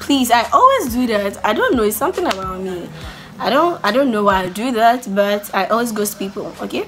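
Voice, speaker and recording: A woman at a fairly high pitch, with ordinary pitch variation and a moderate pace, over noticeable background noise. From Ghana. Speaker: YouTuber. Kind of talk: casual vlog Q&A. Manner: loud; animated.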